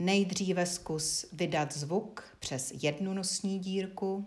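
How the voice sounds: A woman talks in a fairly low voice with fairly even intonation.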